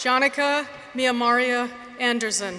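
The voice is raised and projected, moving at a very slow pace. Noticeable background noise sits behind it. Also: woman. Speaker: name reader at graduation. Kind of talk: reading out names. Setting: stage with audience. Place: hall. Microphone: podium.

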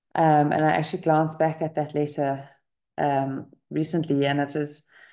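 A woman's very deep, low voice, dark and mellow in tone, flat and monotone, over a quiet background. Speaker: meditation group host. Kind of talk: casual talk to an online group. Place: home room. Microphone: webcam.

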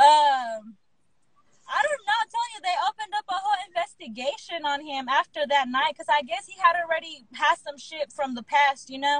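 A woman with a high pitch speaks at a moderate pace, her intonation lively and her loudness swinging widely. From Texas. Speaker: former sex worker telling stories. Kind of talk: casual live-stream chat, storytelling. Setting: Instagram live video call.

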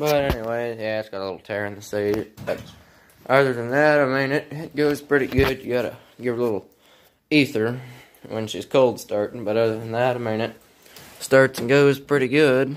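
Here a man is talking at a moderate pace. His intonation is fairly even. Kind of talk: casual vlog chat. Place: garage. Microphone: phone near.

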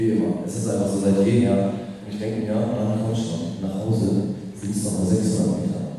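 A man's fairly low voice at a moderate pace, with strong room echo. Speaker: poet. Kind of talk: poetry slam performance, spoken word storytelling. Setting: stage with audience. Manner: casual, conversational storytelling. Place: classroom.

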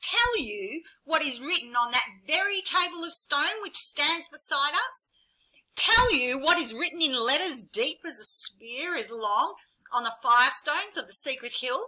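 Putting on a character voice, a woman speaks at a moderate pace in a high, shrill pitch.

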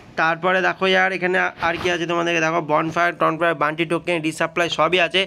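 The man speaking has a fairly high pitch. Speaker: gaming YouTuber. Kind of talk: game tutorial. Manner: casual, addresses viewers as brother. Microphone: sound quality a bit bad.

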